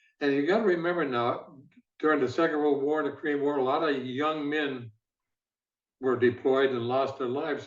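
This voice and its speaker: A man at a moderate pace, fairly high in pitch, with an Upper Midwest accent. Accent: Upper Midwest American. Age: 80s+. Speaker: former football executive. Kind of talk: interview.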